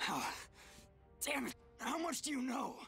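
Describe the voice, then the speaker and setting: A raspy, put-on character voice speaks over clear background music. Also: moderate pace. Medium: video game. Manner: crude, sneering.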